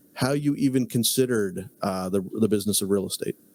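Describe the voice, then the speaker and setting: A man with a medium pitch talks at a moderate pace in an ordinary speaking voice. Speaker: podcast host. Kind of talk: podcast host talk.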